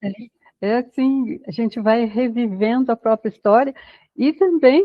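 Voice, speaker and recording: A woman's voice, high in pitch. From Brazil. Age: 80s+. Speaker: educator, human development specialist. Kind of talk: podcast interview.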